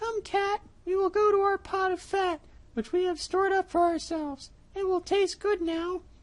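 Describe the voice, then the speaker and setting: An extremely high, squeaky pitch marks this put-on character voice. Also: moderate pace. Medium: read story.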